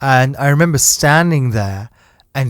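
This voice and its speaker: A man talks with a British accent. The recording is very clean, with a silent background. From UK. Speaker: podcast host, entrepreneur. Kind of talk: casual chat.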